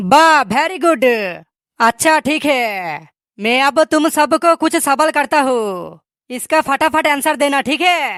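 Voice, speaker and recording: This man uses a gruff, put-on character voice pitched extremely high, speaking at a fairly slow pace. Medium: cartoon. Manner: gruff, quick to insult.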